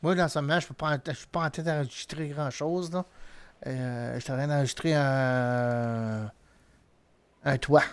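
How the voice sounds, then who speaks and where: In a Quebec accent, a man with a fairly high pitch speaks at a very slow pace with long, frequent pauses and ordinary pitch variation. The recording is very clean, with a silent background. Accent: Québécois French. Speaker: gaming streamer. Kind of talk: live gameplay commentary. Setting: live stream. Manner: animated.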